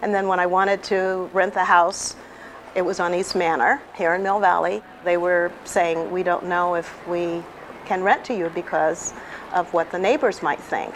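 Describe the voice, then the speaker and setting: Medium-pitched female voice, fairly even in intonation, over noticeable background noise. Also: moderate pace. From California, Bakersfield. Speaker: retired teacher. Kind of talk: interview; speech.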